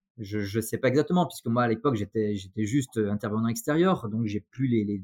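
Recorded very cleanly against a silent background, a man speaks at a moderate pace and medium pitch with ordinary pitch variation and a dry, close sound with no echo. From France, Saint-Étienne. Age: 40s. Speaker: dentist. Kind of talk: interview. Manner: halting, many repetitions.

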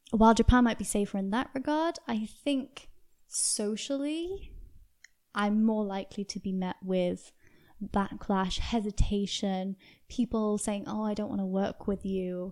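Recorded very cleanly against a silent background, a voice with a British accent speaks at a fairly slow pace with ordinary pitch variation. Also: woman, medium pitch for a woman. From UK. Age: 20s. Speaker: podcast guest. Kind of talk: casual interview.

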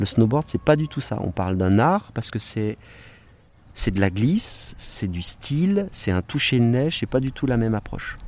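A man speaks at medium pitch and a moderate pace, his pitch swinging very widely. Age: 40s. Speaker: former ski racer and filmmaker. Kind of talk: casual interview. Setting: outdoors by a lake. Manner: animated.

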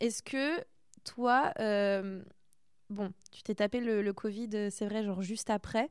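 A woman's fairly high voice at a very slow pace, with long, frequent pauses, ordinary pitch variation and big swings in loudness, on a very clean recording with a silent background. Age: 20s. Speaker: podcast host and young artist. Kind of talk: casual interview chat. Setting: artist's studio. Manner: animated.

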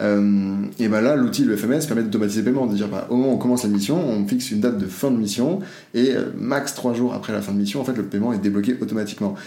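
The speech moves at a very fast pace with ordinary pitch variation, and audible room echo surrounds it. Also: man, fairly low pitch for a man. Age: 20s. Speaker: future-of-work expert and entrepreneur. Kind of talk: casual interview.

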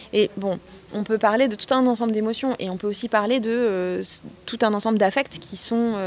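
Fairly even intonation from a woman at a moderate pace, over noticeable background noise. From France, near Notre-Dame-des-Landes. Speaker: author and journalist. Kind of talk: interview. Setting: summer university of social movements in Nantes.

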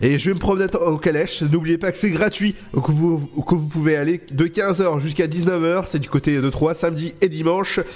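Noticeable background noise behind a man's high-pitched voice, fairly even in intonation, with hardly any pauses. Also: moderate pace. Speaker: radio host. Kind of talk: radio show hosting. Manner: casual, chatty, relaxed, slightly stumbling.

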